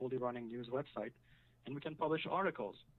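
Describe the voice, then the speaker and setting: This man speaks with a French accent at a medium pitch. His intonation is fairly even. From French-speaking. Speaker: website builder, caller. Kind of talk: casual chat. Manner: halting.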